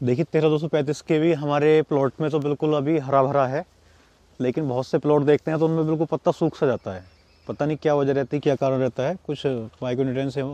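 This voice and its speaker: A man with a dark, mellow tone speaks at a moderate pace in a fairly high pitch. His intonation is fairly even, and the sound is dry with no echo. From India, Amroha district, western Uttar Pradesh; Uttar Pradesh, India. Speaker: sugarcane farmer. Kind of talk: field interview. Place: farm machine.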